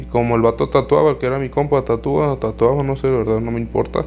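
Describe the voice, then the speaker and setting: Fairly quick speech with a Mexican accent. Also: man. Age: 20s. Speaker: podcaster. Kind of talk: casual monologue.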